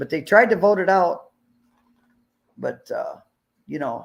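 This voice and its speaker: In an Upper Midwest accent, a man talks at a fairly slow pace with vocal fry and lively intonation. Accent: Upper Midwest American. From northern Illinois, near Wisconsin border. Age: 70s. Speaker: livestream host. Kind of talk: casual livestream chat.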